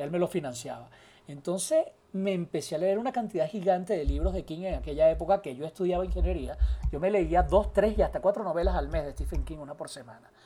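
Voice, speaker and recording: Very fast speech comes from a man. His loudness swings widely. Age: 40s. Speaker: journalist and producer. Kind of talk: casual chat.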